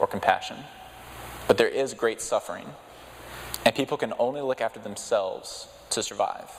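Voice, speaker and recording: A man with an American accent at a moderate pace, with long, frequent pauses. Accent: Texas twang, thicker when speaking publicly. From West Texas. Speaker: lay preacher. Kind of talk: sermon. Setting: church.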